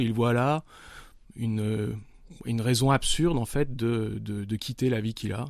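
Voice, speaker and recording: A man of medium pitch speaks with ordinary pitch variation on a very clean recording with a silent background. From France, Nice. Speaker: novelist. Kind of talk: interview. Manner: halting.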